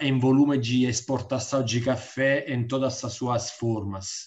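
The background is quiet. A man with an Italian accent speaks at a very slow pace in a monotone, flat intonation. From Italy. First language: Italian (speaking Portuguese). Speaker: diplomat; webinar panelist. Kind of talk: welcome speech. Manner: halting. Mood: friendly, smiling. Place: home room. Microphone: video call.

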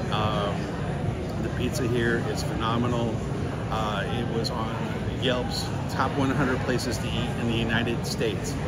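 A man talks at a fairly slow pace amid loud background noise. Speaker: food vlogger. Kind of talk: casual vlog chat. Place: market. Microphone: phone near.

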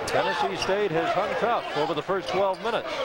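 The sound is dry, with no echo, against loud background noise. The pace is fairly quick. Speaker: radio play-by-play announcer. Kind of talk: live sports commentary, play-by-play. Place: stadium. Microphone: headset.

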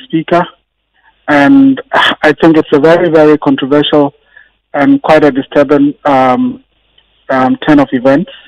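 A man at a moderate pace with long, frequent pauses and ordinary pitch variation, over a quiet background. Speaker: guest. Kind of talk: interview answer. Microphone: phone line.

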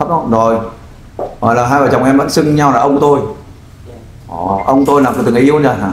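Amid audible room echo, a man talks at a very fast pace with ordinary pitch variation and long, frequent pauses. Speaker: volunteer crime-fighting group leader helping find missing wife. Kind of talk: interview, questioning a man about his missing wife. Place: studio.

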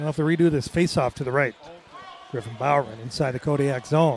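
A man talking at a very fast pace, light background noise, dry sound with no echo. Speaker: hockey play-by-play announcer. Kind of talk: live sports play-by-play commentary. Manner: fast, energetic, rapid-fire. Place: booth.

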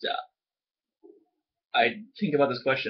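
A man speaks very fast. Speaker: student. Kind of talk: casual talk to camera, class assignment reflection. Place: home room. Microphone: webcam.

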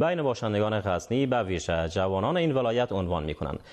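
Against a quiet background, a man speaks with an Afghan accent. His pace is fairly quick. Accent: Afghan Dari. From Afghanistan. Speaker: news anchor. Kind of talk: news reading. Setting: studio. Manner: formal. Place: studio. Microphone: lapel.

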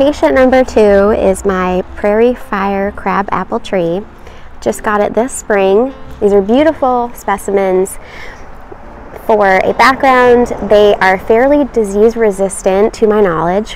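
A woman speaks at a fairly slow pace with ordinary pitch variation. Music plays in the background, and the sound is dry with no echo. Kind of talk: casual vlog chat. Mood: cheerful, enthusiastic. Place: garden.

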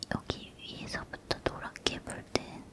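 A soft-spoken voice is whispering at a very slow pace. Loud background noise runs underneath. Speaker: ASMR creator. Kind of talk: soft spoken ASMR chat while drawing. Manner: soft close whisper, ASMR chatter.

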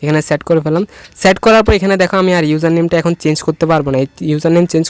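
The man has an ordinary speaking voice, fairly high in pitch, recorded with a dry, close sound and no echo. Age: 20s. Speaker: tech tutorial creator. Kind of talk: screen-recorded tutorial.

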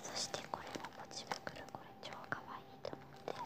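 The voice is soft-spoken, in a whisper. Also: moderate pace. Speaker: stationery haul vlogger. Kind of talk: casual haul show-and-tell. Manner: soft ASMR whisper. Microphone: phone near.

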